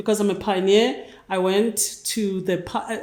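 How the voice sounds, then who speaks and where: A woman with a South African accent at a very slow pace, in audible room echo. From South Africa, Cape Town townships. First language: Xhosa. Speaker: NGO leader. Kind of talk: interview. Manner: halting.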